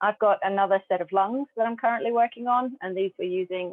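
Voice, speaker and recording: Music can be heard in the background. The speaker is a woman. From Australia and Papua New Guinea. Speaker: glass artist. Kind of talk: interview answer.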